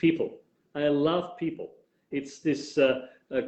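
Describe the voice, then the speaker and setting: Speaking at a fairly slow pace, the man has a fairly high voice. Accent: strong Viennese. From Austria, Vienna. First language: German. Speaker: tour guide. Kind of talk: interview.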